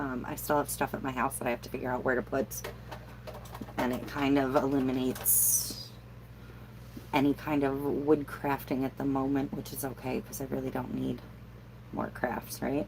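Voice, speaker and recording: A woman with an American accent speaks with long, frequent pauses over noticeable background noise. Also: moderate pace. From New York State. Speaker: crafter livestreaming Q&A. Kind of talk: casual livestream chat. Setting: alone in a camper, livestream. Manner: casual, filler-heavy.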